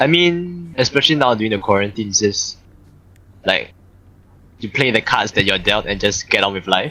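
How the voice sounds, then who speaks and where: With a Singaporean accent, a man at medium pitch speaks at a moderate pace in a bright, sharp tone, his pitch swinging very widely between long, frequent pauses. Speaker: VRChat player. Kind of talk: casual chat.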